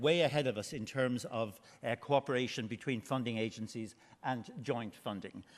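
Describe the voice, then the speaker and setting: A man speaks with an Irish accent at medium pitch. He keeps a moderate pace. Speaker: marine research manager. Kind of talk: conference presentation. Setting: conference hall with audience. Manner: loud, projected voice; hesitant, many fillers.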